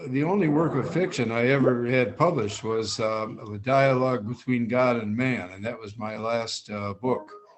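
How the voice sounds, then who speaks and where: There is noticeable background noise and audible room echo in this clip. A man speaks at a medium pitch with hardly any pauses. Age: 80s+. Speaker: author, former track athlete. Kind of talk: live video interview. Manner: halting.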